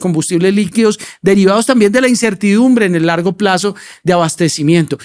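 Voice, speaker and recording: A man speaks with a high pitch and ordinary pitch variation. His pace is fairly quick. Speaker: podcast host. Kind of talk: podcast interview.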